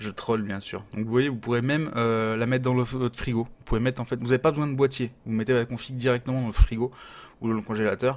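The man's intonation stays fairly even. He speaks very fast. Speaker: gaming hardware youtuber; streamer reviewing PC parts. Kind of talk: product review. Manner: casual, many hesitations. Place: home room.

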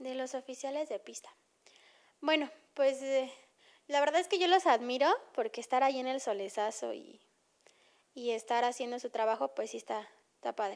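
A woman speaks in a high pitch with ordinary pitch variation. Her loudness swings widely, broken by long, frequent pauses. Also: moderate pace, quiet background. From Mexico. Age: 20s. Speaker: racing driver; guest. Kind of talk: interview. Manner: halting. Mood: enthusiastic, relaxed. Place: home room. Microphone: handheld.

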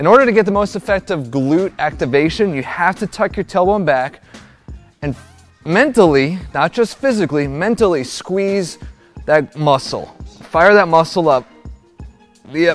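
A man talks at a moderate pace. Behind him, faint music plays in the background. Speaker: fitness coach. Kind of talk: tutorial. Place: gym. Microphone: lapel.

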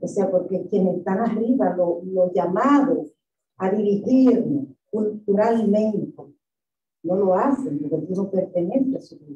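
A woman with a medium pitch speaks at a fairly slow pace, her loudness swinging widely, with audible room echo. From Dominican Republic. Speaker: professor. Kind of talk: lecture. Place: hall.

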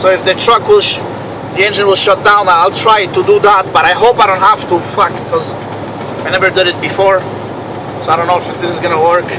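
Fairly quick in pace, a man speaks in a flat monotone. Noticeable background noise is present. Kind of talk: casual vlog chat. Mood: frustrated and annoyed. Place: car. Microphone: phone near.

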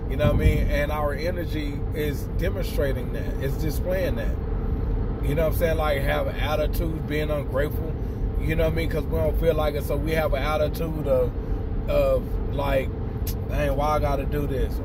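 Over loud background noise, a man speaks at a moderate pace, the sound dry with no echo. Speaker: motivational vlogger. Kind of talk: casual vlog chat, encouraging talk. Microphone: phone near.

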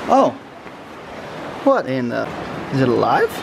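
Over faint background noise, a man speaks slowly at a medium pitch with vocal fry. His pitch swings very widely.

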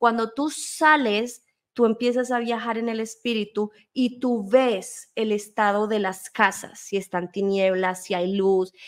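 A woman speaks with fairly even intonation. The background is quiet. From Colombia and Spain. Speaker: guest. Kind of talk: testimony. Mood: earnest, storytelling. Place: home room. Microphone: studio mic.

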